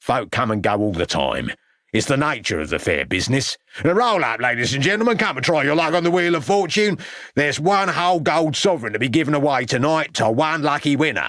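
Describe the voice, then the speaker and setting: A man growls in a gruff, put-on character voice, fairly high-pitched, talking at a fairly quick pace with very wide pitch swings. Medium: read story. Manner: gruff, growling, aggressive.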